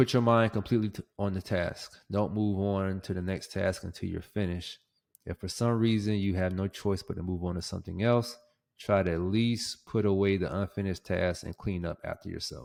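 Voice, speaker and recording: Here a man with an unremarkable speaking voice and fairly low pitch talks at a fairly quick pace. His intonation is fairly even, on a very clean recording with a silent background. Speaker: podcast host. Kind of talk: casual solo podcast monologue. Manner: casual, filler-heavy.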